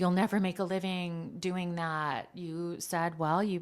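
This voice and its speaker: A normal speaking voice at a fairly slow pace. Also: woman. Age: 60s. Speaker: journalist and show host. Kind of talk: casual interview with her father.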